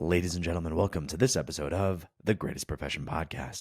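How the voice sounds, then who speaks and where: A man puts on a character voice, very deep and low, hoarse and raspy, talking at a very fast pace with ordinary pitch variation in a dry, close sound with no echo on a very clean recording with a silent background. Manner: podcast intro.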